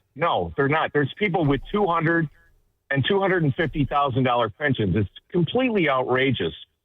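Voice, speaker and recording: A man with a normal speaking voice, fairly high in pitch, with an American accent, a fairly quick pace, lively intonation and very even loudness. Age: 60s. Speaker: caller, city worker. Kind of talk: call-in conversation.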